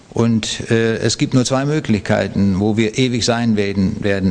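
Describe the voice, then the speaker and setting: Noticeable background noise sits under a man's fairly even intonation. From Lower Saxony, Germany. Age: 70s. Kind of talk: interview testimony.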